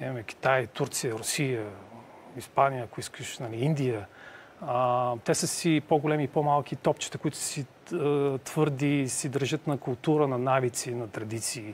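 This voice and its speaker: The speaker goes at a fairly slow pace. Intonation stays fairly even. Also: man, medium pitch for a man. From Bulgaria. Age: middle-aged. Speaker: Bulgarian emigrant in the US. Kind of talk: casual conversation. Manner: halting, many fillers.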